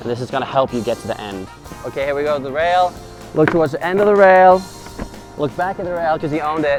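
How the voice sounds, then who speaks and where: With music in the background, a man talks at a very fast pace and a fairly high pitch, with a playful, upbeat tone, lively intonation and long, frequent pauses. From Norway. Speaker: professional snowboarder. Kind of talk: casual tutorial instruction to camera.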